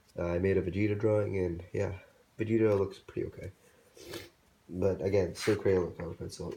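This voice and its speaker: With a dark, mellow, somewhat breathy tone, a man speaks fairly low and fairly quickly in a monotone, flat delivery broken by long, frequent pauses. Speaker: hobby artist YouTuber. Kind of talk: casual show-and-tell. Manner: halting, with fillers.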